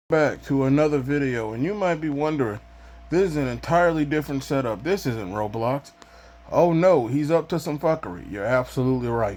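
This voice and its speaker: With a plain, everyday voice, a man talks at a fairly quick pace and a fairly high pitch. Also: lively intonation. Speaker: YouTuber. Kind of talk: casual vlog monologue.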